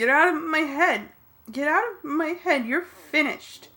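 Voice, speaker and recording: A woman puts on a character voice, high-pitched with lively intonation. She talks at a moderate pace. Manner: frantic, shouting.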